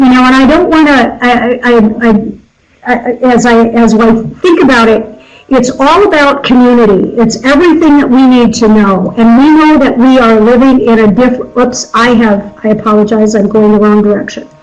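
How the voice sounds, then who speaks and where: A high-pitched woman at a moderate pace, with ordinary pitch variation and audible room echo. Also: very even loudness. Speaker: nonprofit governance consultant. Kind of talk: presentation to a board. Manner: halting, many fillers.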